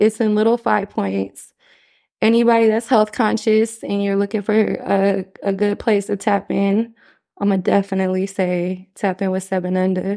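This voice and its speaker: A woman's medium-pitched, dark, mellow voice with an American accent, moderate pace and monotone, flat intonation, over a quiet background. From California (South Central LA and Bay Area), later Seattle. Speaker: mother and spirituality/wellness enthusiast. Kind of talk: casual chat.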